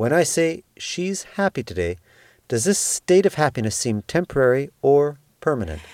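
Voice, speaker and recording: Very wide pitch swings mark this man's fairly high voice. The recording is very clean with a silent background and a dry, close sound with no echo. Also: moderate pace. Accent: Canadian. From Canada. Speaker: language teacher, podcast co-host. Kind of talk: language lesson.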